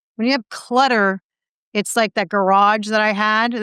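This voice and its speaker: A woman with an unremarkable speaking voice at a moderate pace, fairly even intonation, dry, close sound with no echo and a quiet background. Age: 60s. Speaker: personal growth coach. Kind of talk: podcast interview.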